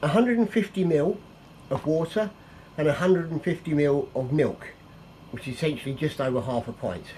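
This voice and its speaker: With a northern English accent, the speaker talks at a moderate pace with lively intonation. Background noise is noticeable. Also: man. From northern England. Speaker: cook. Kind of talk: cooking tutorial. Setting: home kitchen. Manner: casual, chatty.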